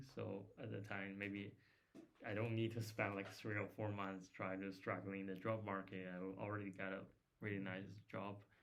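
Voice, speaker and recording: Amid audible room echo, a man with a fairly low pitch talks at a moderate pace in monotone, flat intonation. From China. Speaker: former master's student, software developer. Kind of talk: casual chat.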